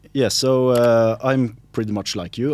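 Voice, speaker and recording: A man with a Swedish accent talks at a moderate pace. The recording is very clean, with a silent background. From Sweden. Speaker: linguist and local politician. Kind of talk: podcast interview. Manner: halting, many fillers.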